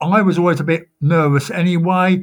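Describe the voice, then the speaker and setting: A man speaks in an unremarkable speaking voice, fairly high in pitch with fairly even intonation. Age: 60s. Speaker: electric car driver. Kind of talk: interview.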